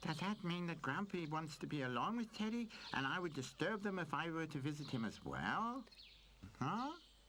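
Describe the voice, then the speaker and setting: A cartoonish character voice at a middle pitch and moderate pace, with clear background noise. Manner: cheerful, playful.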